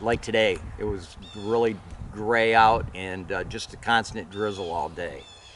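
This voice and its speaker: Noticeable background noise behind a man's fairly low voice. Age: 70s. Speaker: bowhunter. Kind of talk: casual chat.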